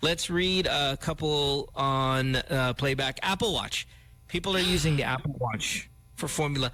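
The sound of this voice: A man speaks at a medium pitch and a fairly slow pace. His tone is bright and sharp. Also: ordinary pitch variation.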